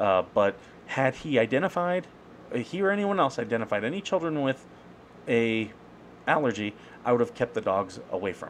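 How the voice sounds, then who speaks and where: A man speaks at a moderate pace with very wide pitch swings and long, frequent pauses over light background noise. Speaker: veteran with a service dog. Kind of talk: casual commentary to camera. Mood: aggrieved but calm. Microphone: webcam.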